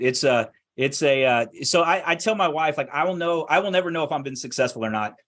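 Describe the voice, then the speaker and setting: Fairly quick delivery with ordinary pitch variation and a quiet background. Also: man. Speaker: land investing expert. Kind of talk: interview. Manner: fast.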